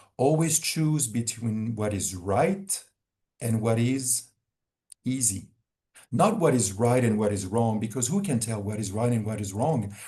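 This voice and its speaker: A man with a French accent, medium pitch, a dark, mellow tone, a somewhat breathy quality, lively intonation and a fairly slow pace. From France. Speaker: wellness organization founder. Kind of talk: webinar Q&A answer. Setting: video call. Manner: halting with repetitions.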